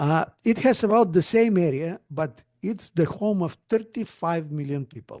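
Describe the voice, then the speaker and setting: A man with a Bulgarian accent speaks at a high pitch and a fairly slow pace with lively intonation, the sound dry and close with no echo. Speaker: astronomer and speculative fiction writer. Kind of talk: conference talk. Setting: virtual conference presentation. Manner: hesitant, with many fillers.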